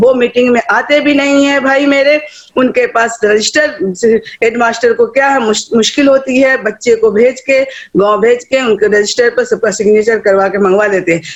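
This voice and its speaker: Ordinary pitch variation with very even loudness. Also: woman, high pitch for a woman. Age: 60s. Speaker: retired teacher and education activist. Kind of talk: online meeting remarks. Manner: animated.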